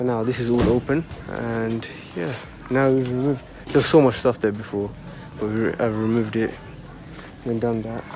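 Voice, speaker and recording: Soft-spoken, a man talks at a medium pitch with fairly even intonation and long, frequent pauses over noticeable background noise. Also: fairly quick pace. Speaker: vlogger. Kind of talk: casual vlog narration. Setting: outdoors in garden.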